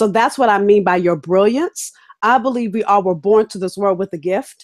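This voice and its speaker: In an American accent, a woman with a medium-pitched voice speaks in an animated tone, the sound dry and close with no echo. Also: ordinary pitch variation. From Los Angeles, California (Inglewood). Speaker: business coach. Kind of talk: interview. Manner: fast.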